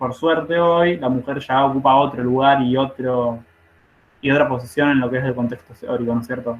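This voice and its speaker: A man with an ordinary speaking voice talks fairly quickly, keeping a medium pitch and fairly even intonation. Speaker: nursing study group leader. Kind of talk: online study group lecture.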